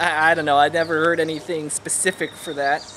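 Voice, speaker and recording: Over light background noise, a man with an American accent speaks at a moderate pace. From California, USA. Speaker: dialect project participant. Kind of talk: dialect survey recording, word list and answers. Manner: casual, relaxed. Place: garden.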